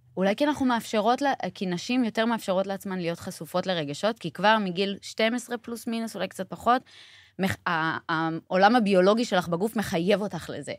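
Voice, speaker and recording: A woman with a normal speaking voice talks at medium pitch with lively intonation, the sound dry and close with no echo on a very clean recording over a silent background. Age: 30s. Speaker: sister of a hostage, advocate. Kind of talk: interview.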